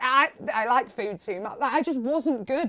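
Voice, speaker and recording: Speaking at a fairly quick pace, a woman uses an animated tone and lively intonation. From Manchester, northern England. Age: 20s. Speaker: radio and TV presenter. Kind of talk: interview.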